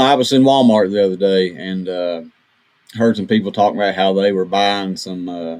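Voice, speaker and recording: A man speaks with an Appalachian accent at a moderate pace. His pitch is fairly low, with ordinary variation. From West Virginia. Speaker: podcast radio host. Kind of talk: casual interview.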